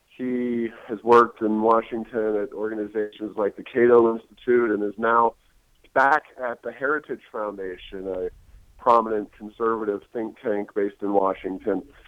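Delivered at a moderate pace, the speech has an American accent and monotone, flat intonation. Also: man, medium pitch for a man. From Ohio. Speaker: think tank president. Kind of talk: podcast interview.

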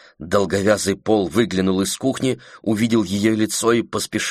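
Fairly even intonation in a passage read aloud in a natural voice

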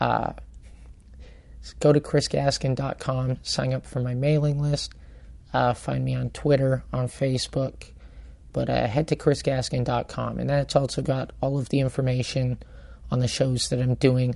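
A man whispers. His pace is moderate. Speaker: comedian and podcast host. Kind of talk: casual chat. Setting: bar. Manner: whispering in the intro.

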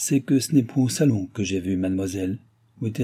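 Simple, plain reading aloud

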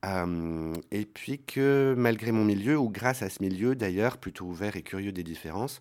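The speaker has lively intonation and a slightly mellow tone. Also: man, fairly low pitch for a man, moderate pace.

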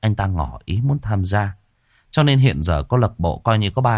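The speaker is reading aloud in a natural voice. Intonation is lively, and the background is quiet.

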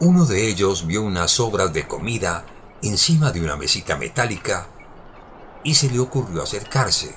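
At a moderate pace, the voice carries a fairly bright tone and big pitch swings. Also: man, low pitch for a man.

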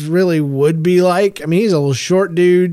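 This man speaks at a high pitch. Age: 40s. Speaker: podcast host. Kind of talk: casual monologue. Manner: hesitant, many fillers.

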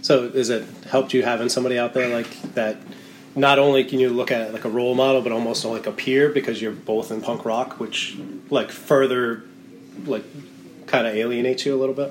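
A man talks fairly quickly at a medium pitch, with long, frequent pauses. His intonation is monotone and flat, and background noise is noticeable. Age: 30s. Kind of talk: casual chat.

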